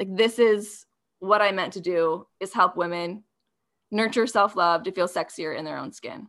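Speaking with an American accent, a woman has a normal speaking voice at a medium pitch and moderate pace, with ordinary pitch variation. Her loudness swings widely, and the recording is very clean with a silent background. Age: 30s. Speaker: self-love coach and podcaster. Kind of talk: casual chat.

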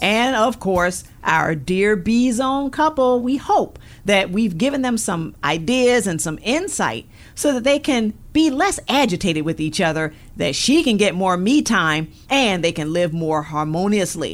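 At a fairly slow pace, a woman with a medium pitch and a warm, upbeat tone sends her voice through very wide pitch swings. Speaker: radio host. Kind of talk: radio talk show. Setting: studio. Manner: warm, upbeat, animated.

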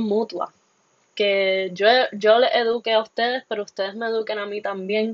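Her medium-pitched voice moves with fairly even intonation as the woman speaks. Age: 20s. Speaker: podcast host and biology student. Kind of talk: solo podcast monologue. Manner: halting, with fillers.

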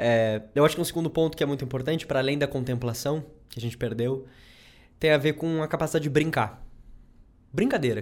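Speaking at a very fast pace, a man leaves long, frequent pauses. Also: fairly high pitch for a man, ordinary pitch variation. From southern Brazil, Rio Grande do Sul. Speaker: psychologist, doctoral researcher. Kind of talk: casual interview chat.

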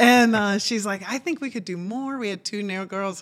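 A woman with an American accent speaks at a fairly high pitch with ordinary pitch variation. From New York City, then South Carolina, then Oklahoma. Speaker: business co-owner, guest. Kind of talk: casual interview conversation.

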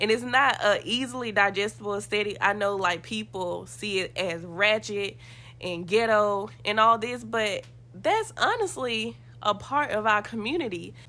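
A woman at a medium pitch speaks at a moderate pace with ordinary pitch variation and some vocal fry. Her tone is bright and sharp over a quiet background. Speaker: podcast host. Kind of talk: casual discussion podcast.

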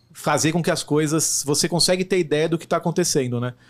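A man talks with a fairly high pitch and ordinary pitch variation. It is an unremarkable speaking voice, in a very clean recording with a silent background. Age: 30s. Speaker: logistics executive. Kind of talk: interview. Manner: fast.

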